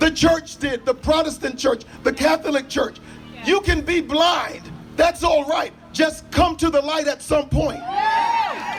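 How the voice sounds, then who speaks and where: Someone shouts at a fairly slow pace with ordinary pitch variation, music playing in the background. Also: man, extremely high pitch for a man. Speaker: pastor. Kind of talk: sermon-style public address. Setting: outdoors at a rally with audience responses.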